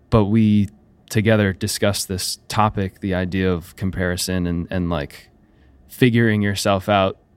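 On a very clean recording with a silent background, a man with an American accent and a normal speaking voice talks at a fairly low pitch with fairly even intonation. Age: 20s. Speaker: musician and producer. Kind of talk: casual interview. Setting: studio.

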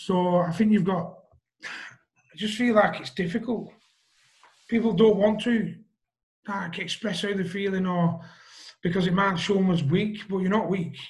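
This man speaks with a Lancashire accent and a high pitch. His intonation is fairly even, broken by long, frequent pauses. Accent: Wigan, northern English. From Wigan, northern England. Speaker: guest, mental health page founder. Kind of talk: casual interview conversation. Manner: halting, hesitant.

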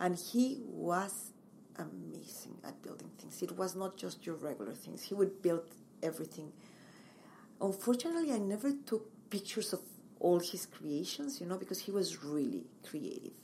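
A woman with a Mexican accent at a moderate pace, her loudness swinging widely. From Mexico. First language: Spanish. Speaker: interior designer and home stager. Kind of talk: interview.

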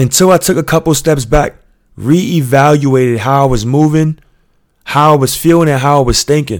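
A man with a New York accent, fairly high pitch, ordinary pitch variation and a moderate pace. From US Northeast (Queens, New York). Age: 30s. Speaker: podcast host. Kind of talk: motivational monologue. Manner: earnest, emphatic.

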